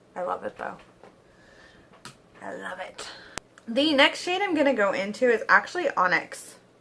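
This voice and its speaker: A woman speaks at a moderate pace with long, frequent pauses and big swings in loudness. Noticeable background noise runs underneath. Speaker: beauty vlogger. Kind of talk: casual chat while doing makeup. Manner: animated; sarcastic.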